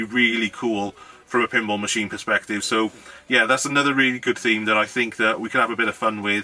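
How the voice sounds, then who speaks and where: A man with a Welsh accent, monotone and flat in intonation, with faint music in the background. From Wales. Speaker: YouTuber, hobbyist maker; YouTuber. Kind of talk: casual vlog talk to camera. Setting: home garage. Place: home room.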